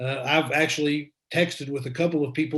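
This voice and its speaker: A man with an American accent speaks in a fairly high, somewhat breathy voice. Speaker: former politician and school dean. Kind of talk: talk to a luncheon group. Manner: repeats words, hesitant fillers.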